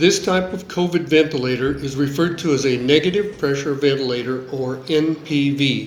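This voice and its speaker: With an American accent, a man speaks at a moderate pace and a fairly high pitch. Both room echo and background noise can be heard. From US. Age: 70s. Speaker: engineer. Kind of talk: scripted narration.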